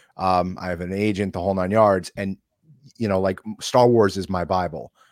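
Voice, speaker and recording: In a very clean recording with a silent background and a dry, close sound with no echo, a man speaks at a moderate pace and fairly low pitch with ordinary pitch variation. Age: 40s. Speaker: podcast co-host. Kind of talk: casual interview chat. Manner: animated.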